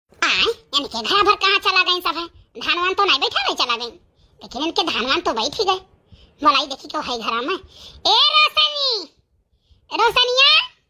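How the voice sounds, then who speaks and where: A woman's cartoonish character voice, extremely high in pitch with very wide pitch swings, at a moderate pace with long, frequent pauses. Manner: chatty, gossipy, laughing.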